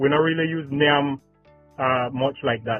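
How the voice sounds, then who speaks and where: Music plays in the background as a man with a Belizean accent speaks. His voice is fairly high in pitch, with fairly even intonation at a moderate pace. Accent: Belizean Creole English. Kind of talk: casual conversation.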